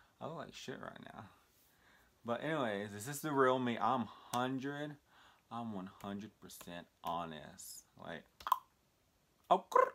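An American man talks at a fairly slow pace with long, frequent pauses and lively intonation. His loudness swings widely over light background noise. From Texas, small town. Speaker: vlogger. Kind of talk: casual vlog monologue. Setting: talking to camera. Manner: halting, many fillers. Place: home room. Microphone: phone near.

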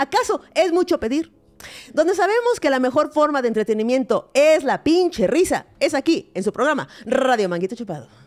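A woman's high-pitched voice at a moderate pace, with very wide pitch swings. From Mexico. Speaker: comedy podcast co-host. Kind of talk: casual comedic chat; comedic podcast monologue and chat. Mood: playful, humorous. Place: studio. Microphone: studio mic.

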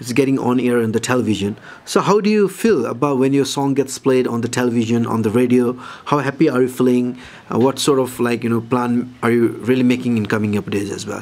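Over noticeable background noise, a man with a Nepali accent talks at a very fast pace with ordinary pitch variation. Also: medium pitch for a man. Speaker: interviewer. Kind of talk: interview.

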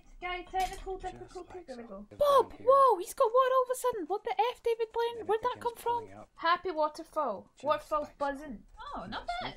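Over light background noise, a woman with a Scottish accent talks at a fairly quick pace in an extremely high pitch, with very wide pitch swings and big swings in loudness. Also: hardly any pauses. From Scotland. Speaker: streamer. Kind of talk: casual livestream talk. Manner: chatty, humorous. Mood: playful, joking. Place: home room. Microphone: studio mic.

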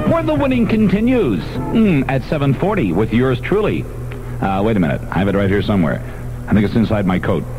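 Noticeable background noise runs under a man talking fairly quickly. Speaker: radio disc jockey. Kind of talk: morning radio DJ patter with jokes. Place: studio. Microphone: old recording.

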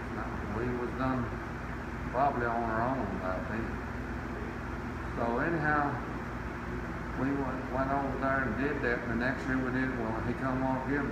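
In an American accent, a man speaks at a moderate pace with long, frequent pauses, amid loud background noise and audible room echo. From North Carolina. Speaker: beekeeper. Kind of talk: oral history interview answer. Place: hall. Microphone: phone near.

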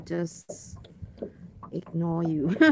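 Recorded with a dry sound and no echo, a woman speaks over noticeable background noise. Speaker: vlogger angler. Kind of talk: casual vlog chat. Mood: relaxed, amused. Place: waterside. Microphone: phone near.

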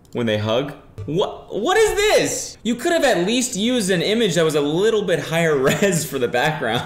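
Audible room echo follows a man as he talks at a moderate pace. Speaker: youtuber. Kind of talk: commentary. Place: home room.

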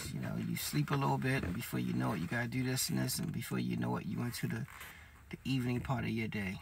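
A man at a fairly quick pace, over light background noise. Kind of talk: casual vlog chat. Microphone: phone near.

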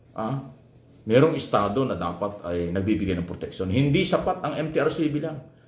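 Over audible room echo, a man talks at a moderate pace with a medium pitch. His tone is animated, with very wide pitch swings. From Philippines. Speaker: vlogger and media commentator; political commentator. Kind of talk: opinion commentary monologue. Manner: animated, rhetorical. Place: home room. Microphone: phone near.

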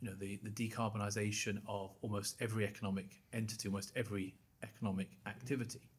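A man speaks at a very fast pace with a fairly low pitch. His voice is somewhat breathy and his intonation monotone and flat. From Scotland. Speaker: bank institute chief executive; podcast guest. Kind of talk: interview; interview answer. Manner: repeats words when starting. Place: studio. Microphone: studio mic.

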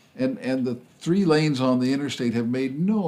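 This man, medium in pitch, delivers his words fairly quickly while noticeable background noise plays behind him. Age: 80s. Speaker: retired professor and passenger rail advocate. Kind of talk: interview.

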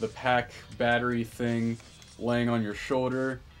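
A man talks fairly slowly over faint background music. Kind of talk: casual vlog chat. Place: home room. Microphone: phone near.

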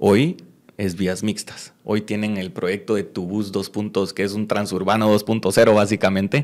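With a plain, everyday voice, a man speaks fairly slowly at a fairly low pitch and fairly even intonation against a quiet background. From Guatemala. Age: 20s. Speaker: mayoral candidate; candidate. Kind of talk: interview. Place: studio. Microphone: studio mic.

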